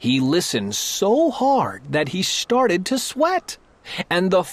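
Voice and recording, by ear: In a natural voice, someone reads a passage aloud.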